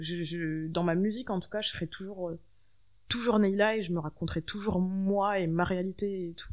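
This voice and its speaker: Speaking at a moderate pace, a woman has an unremarkable speaking voice at medium pitch with fairly even intonation. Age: 20s. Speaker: musician. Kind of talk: interview. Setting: host's living room.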